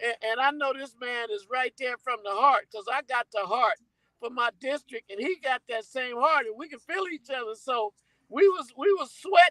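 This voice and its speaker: Projecting a raised voice, a man with an extremely high pitch and a bright, sharp tone makes big swings in loudness, recorded dry and close with no echo. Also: ordinary pitch variation, moderate pace. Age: 60s. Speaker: campaign volunteer. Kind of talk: casual chat. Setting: studio.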